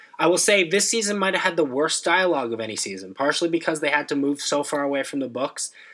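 Someone talks at a very fast pace with hardly any pauses and lively intonation, over noticeable background noise. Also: man, fairly high pitch for a man. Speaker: podcast co-host. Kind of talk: casual chat.

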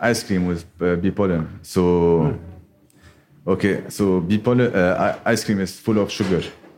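At a very slow pace, a man speaks at a fairly low pitch with ordinary pitch variation. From Lebanon. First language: Arabic. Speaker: beekeeper and startup co-founder. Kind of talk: live podcast conversation. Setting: bookshop with live audience. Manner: halting.

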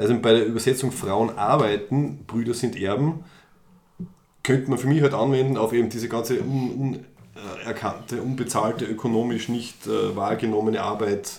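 Speaking at a moderate pace with fairly even intonation, a man with a medium-pitched voice is heard amid audible room echo. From Austria, Styria. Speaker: podcast co-host. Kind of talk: casual chat. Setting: studio, face to face.

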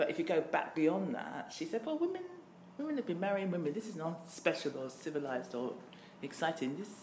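Lively intonation marks a woman speaking in a southern English accent, with audible room echo around her. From southern England, Worthing (Nigerian heritage). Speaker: diversity trainer and business owner, LGBT activist. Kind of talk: interview. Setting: office.

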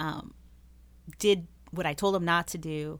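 A woman talks with a fairly low pitch and fairly even intonation. The recording is very clean with a silent background. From Las Vegas, Nevada. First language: Spanish. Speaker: nonprofit founder, anti-trafficking advocate. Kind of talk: interview.

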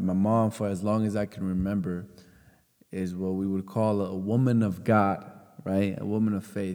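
The tone is dark and mellow, the intonation monotone and flat. The pace is moderate. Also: man. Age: 20s. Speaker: podcast host. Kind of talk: personal monologue. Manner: casual, repetitive false starts.

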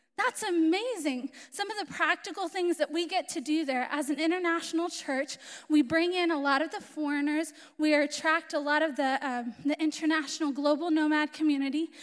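Speaking at a fairly quick pace, a woman uses a high pitch with ordinary pitch variation. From Florida, US. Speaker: missionary. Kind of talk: sermon. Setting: church with audience.

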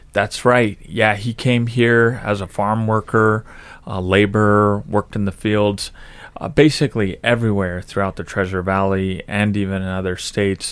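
A man with an American accent speaks at a moderate pace in a fairly low pitch, with fairly even intonation and a normal speaking voice. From Idaho, Nampa. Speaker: politician and army veteran. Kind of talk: interview.

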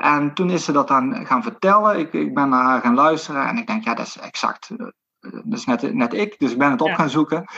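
With a bright, sharp tone, a man talks at a fairly quick pace and a fairly high pitch, his voice making very wide pitch swings. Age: 40s. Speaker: sports physiotherapist. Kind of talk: interview conversation. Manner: halting, many fillers.

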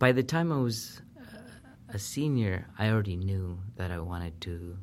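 A man speaks at a moderate pace in a very deep, low voice. His loudness swings a lot while his pitch varies in an ordinary way. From Peru. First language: Spanish. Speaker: professor. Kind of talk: interview.

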